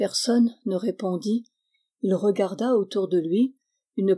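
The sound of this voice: An unforced reading voice comes through with only a quiet background behind it.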